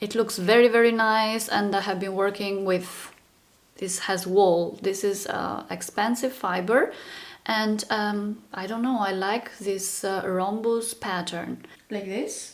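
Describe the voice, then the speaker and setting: At a very slow pace, a woman speaks with a medium pitch. Her intonation is monotone and flat. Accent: non-native. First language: not English. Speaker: crochet content creator. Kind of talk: casual chat. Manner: hesitant, with fillers.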